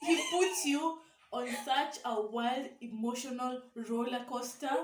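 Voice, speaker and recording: A woman speaks at a very slow pace. Her voice is high, with ordinary pitch variation. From Kenya. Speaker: vlogger. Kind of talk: casual chat.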